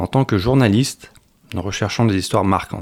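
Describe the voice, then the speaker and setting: Captured in a very clean recording with a silent background, a man talks at a fairly quick pace. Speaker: French teacher volunteer. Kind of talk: radio interview. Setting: studio. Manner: halting.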